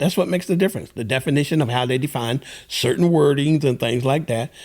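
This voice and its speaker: A man with a fairly high, somewhat breathy voice talks at a very fast pace with lively intonation. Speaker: host's father, podcast guest. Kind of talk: casual chat. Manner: halting.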